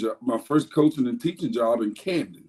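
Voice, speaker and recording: Fairly high pitch from a man with an Alabama accent. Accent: US Southern (Alabama). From Alabama, near Dothan. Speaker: high school football coach. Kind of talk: podcast interview. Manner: loud; halting, many fillers.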